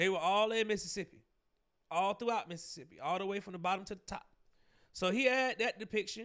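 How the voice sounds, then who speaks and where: In a very clean recording with a silent background, a man speaks very fast in a high voice with ordinary pitch variation. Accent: Southern US. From Georgia, US South. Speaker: podcast host, commentator. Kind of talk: commentary monologue. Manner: casual, many fillers and repetitions.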